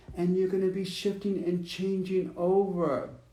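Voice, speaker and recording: A high-pitched man's voice with a dark, mellow tone and audible room echo. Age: 50s. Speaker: psychic reader. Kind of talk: spiritual reading. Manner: conversational, halting.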